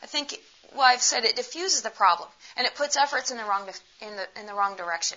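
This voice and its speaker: The woman has an American accent. She speaks with lively intonation. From United States. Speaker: pediatrician giving a talk. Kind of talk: lecture. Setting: stage with audience.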